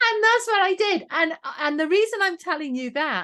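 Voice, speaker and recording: Against a quiet background, a woman with a Welsh accent speaks with very wide pitch swings. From Wales. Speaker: education trainer and channel swimmer. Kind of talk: podcast interview.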